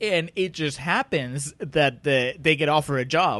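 At a moderate pace, a man talks in a fairly high pitch with a non-native accent and lively intonation. The background is quiet. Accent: foreign-accented English. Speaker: podcast co-host. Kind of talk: casual banter discussing a film.

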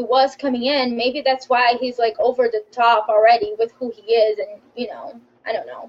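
A woman with a non-native accent, speaking at a moderate pace. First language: not English. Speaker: former reality show contestant. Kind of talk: casual interview.

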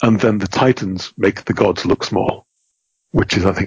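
This man talks at a moderate pace and a medium pitch. His voice is somewhat breathy. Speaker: game designer and rules editor. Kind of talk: podcast interview.

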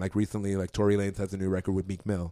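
A man with a Toronto accent speaks in a fairly low pitch. The sound is dry and close with no echo, in a very clean recording with a silent background. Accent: Canadian (Toronto). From Toronto, Canada. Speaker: club and sports team DJ. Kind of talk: casual chat.

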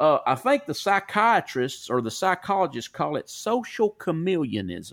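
At a moderate pace, a man talks with a Southern US accent. He barely stops for any pauses. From US South. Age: 40s. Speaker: podcast host. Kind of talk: casual chat. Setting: remote call. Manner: animated.

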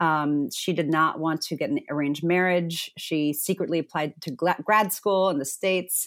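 Recorded very cleanly against a silent background, a woman speaks at a fairly low pitch and a moderate pace, with ordinary pitch variation and hardly any pauses. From born in Zimbabwe, raised internationally then Virginia, US. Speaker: author and conflict facilitator. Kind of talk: interview conversation. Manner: halting, many fillers and restarts.

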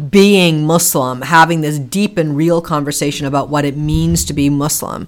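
A woman with a Boston accent speaks at a very deep, low pitch, with ordinary pitch variation. There is noticeable background noise. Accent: American, Boston area. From US Northeast, Boston area. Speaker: author and extremism expert. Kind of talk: interview.

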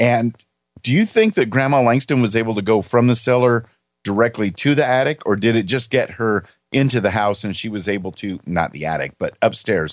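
A man talks in a plain, everyday voice at a medium pitch with ordinary pitch variation. He moves at a fairly quick pace against a quiet background. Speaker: podcast co-host. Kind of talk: casual podcast discussion.

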